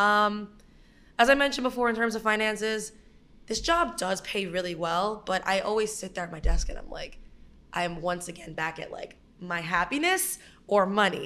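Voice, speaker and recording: A bright, sharp-toned woman's voice in a New York accent, medium-pitched with lively intonation. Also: moderate pace, big swings in loudness. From Brooklyn, New York. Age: 20s. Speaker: writer. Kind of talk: casual chat.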